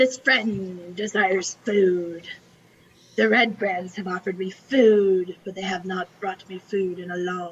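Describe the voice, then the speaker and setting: A whispered, put-on character voice, female-sounding, at a fairly slow pace. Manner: whispering.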